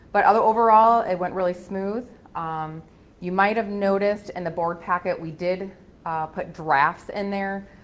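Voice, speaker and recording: Audible room echo surrounds a woman speaking at a moderate pace and medium pitch with fairly even intonation. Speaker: auditor. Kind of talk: presentation to city council. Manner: loud; hesitant, many fillers.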